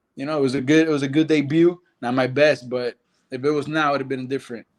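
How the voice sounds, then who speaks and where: A man's very fast, fairly high-pitched speech in a Spanish accent, flat and monotone. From Nicaragua. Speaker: karate fighter. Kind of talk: interview.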